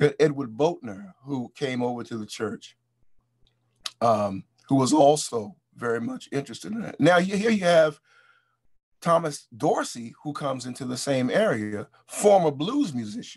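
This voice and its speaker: Speaking with an American accent, a fairly high-pitched man swings very widely in pitch and makes big swings in loudness. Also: moderate pace. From US, Baltimore (East Baltimore). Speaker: musician and music historian. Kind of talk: interview lecture on music history. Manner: halting, many repetitions.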